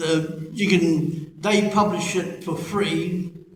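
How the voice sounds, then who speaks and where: This man speaks in a monotone with flat intonation and a high pitch. There is audible room echo around him. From Australia. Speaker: internet pastor and self-published author. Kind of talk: interview before a live audience. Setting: church conference with audience.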